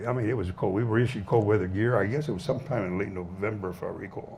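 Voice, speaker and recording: Somewhat breathy, a man speaks with a Southwestern US accent. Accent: American Southwest. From Arizona, USA. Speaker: Korean War veteran. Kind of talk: veteran's talk to an audience.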